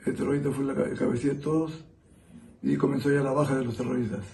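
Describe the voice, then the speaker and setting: Somewhat breathy, a man talks at a very fast pace with ordinary pitch variation, and audible room echo surrounds him. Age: 60s. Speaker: interviewee, witness of terrorism era. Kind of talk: testimony. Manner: halting.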